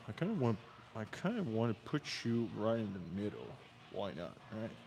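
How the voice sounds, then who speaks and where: This man's delivery is rather slow. Room echo can be heard around his voice. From Quebec, Canada. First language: French. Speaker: fitness streamer. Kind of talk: livestream workout commentary. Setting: gym. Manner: casual, chatty.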